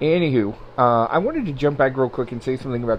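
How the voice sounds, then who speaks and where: The man's medium-pitched voice shows ordinary pitch variation. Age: 40s. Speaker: podcast host. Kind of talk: casual solo monologue. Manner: hesitant, many fillers.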